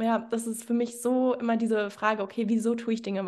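The speaker talks at a fairly quick pace with a monotone, flat intonation. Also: woman. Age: 20s. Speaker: fitness coach. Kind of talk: interview.

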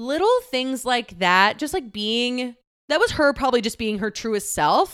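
A woman with an American accent and a high pitch speaks at a fairly slow pace with lively intonation on a very clean recording with a silent background. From Texas. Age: 30s. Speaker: podcast host. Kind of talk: casual solo monologue. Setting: recording on an air mattress at home.

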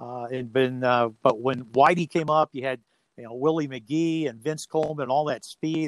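A man with a normal speaking voice talks at a moderate pace with fairly even intonation, in a dry, close sound with no echo. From Ohio. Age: 60s. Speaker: radio play-by-play announcer. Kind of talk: casual interview. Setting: remote call from home.

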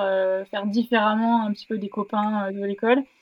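A woman uses an unremarkable speaking voice, fairly high in pitch, at a moderate pace. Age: 20s. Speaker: sports science start-up co-founder. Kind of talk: casual interview.

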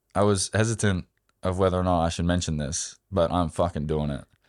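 A man with an Australian accent, fairly even in intonation, in a very clean recording with a silent background. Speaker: amateur marathon runner. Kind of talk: interview.

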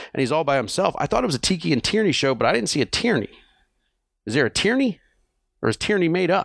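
In a very clean recording with a silent background and a dry, close sound with no echo, a man speaks in an animated tone at a very fast pace with very wide pitch swings, very even loudness, and long, frequent pauses. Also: fairly high pitch for a man. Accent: American. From New Jersey, US. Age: 40s. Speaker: podcast host. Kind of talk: casual chat.

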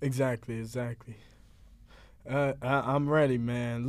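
Fairly slow speech from a man, very clean recording, silent background. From Philadelphia. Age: 20s. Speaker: podcast co-host, environmental activist. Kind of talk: casual chat. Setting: studio.

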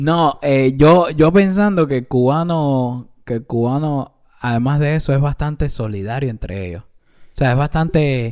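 A man's plain, everyday voice, fairly high in pitch with ordinary pitch variation, fairly slow with hardly any pauses and big swings in loudness. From Cuba. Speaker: podcast co-host. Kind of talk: casual chat.

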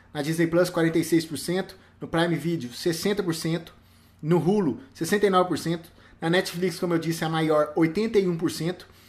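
Speaking at a very slow pace, a man has a high pitch. His intonation stays fairly even. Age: 30s. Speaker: film podcaster. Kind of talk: live stream commentary. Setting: live video stream.

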